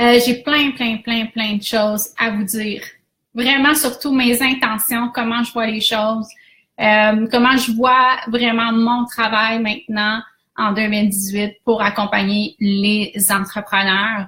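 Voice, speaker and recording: In a Quebec accent, a woman speaks at a very slow pace with a fairly high pitch, a bright, sharp tone and monotone, flat intonation. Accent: Québécois French. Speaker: business coach. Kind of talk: live stream talk. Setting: Facebook Live.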